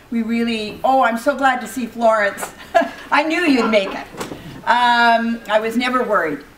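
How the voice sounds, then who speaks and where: Amid noticeable background noise, a woman speaks with a fairly high pitch. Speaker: women's rights organization co-chair. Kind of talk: welcome speech. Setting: room with audience, no microphone. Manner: loud; halting.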